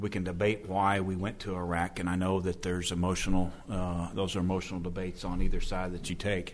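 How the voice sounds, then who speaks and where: Amid audible room echo, a man with an American accent and a very deep, low voice talks fairly quickly in a monotone, flat intonation with hardly any pauses. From Oklahoma. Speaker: army officer. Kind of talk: panel discussion.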